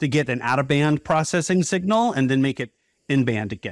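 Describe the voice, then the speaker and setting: A man talks fairly quickly in a plain, everyday voice, pitched fairly high, with lively intonation. The recording is very clean, with a silent background. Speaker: podcast host. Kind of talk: interview, conversational.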